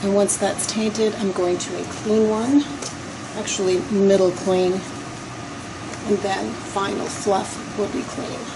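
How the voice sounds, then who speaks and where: A soft-spoken woman at a very slow pace, flat monotone intonation, audible room echo and noticeable background noise. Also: medium pitch for a woman. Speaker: decorative painter. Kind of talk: tutorial. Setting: client's basement.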